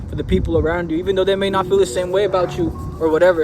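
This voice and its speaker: A man talking at a very fast pace, with music in the background. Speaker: spiritual content creator. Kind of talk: casual vlog talk. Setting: outdoors in a nature park. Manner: casual, filler-heavy speech; stumbling, self-correcting.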